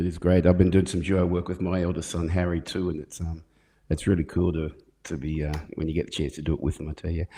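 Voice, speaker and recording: In an Australian accent, a man speaks very fast in a flat monotone with a very deep, low pitch and a dark, mellow tone, over a quiet background. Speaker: podcast host, musician. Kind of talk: casual chat.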